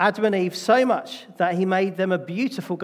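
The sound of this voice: The speaker reads aloud. It is an unforced reading voice.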